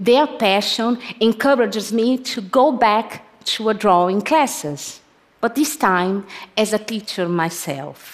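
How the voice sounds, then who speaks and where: Lively intonation marks this woman's fairly high voice as she speaks at a fairly slow pace with a Portuguese accent. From Brazil. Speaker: photographer. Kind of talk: public talk.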